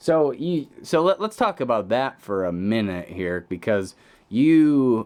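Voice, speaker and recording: A man with an American accent talks at a fairly slow pace. His medium-pitched voice makes very wide pitch swings. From Illinois, US Midwest. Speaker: singer-songwriter. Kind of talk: casual chat.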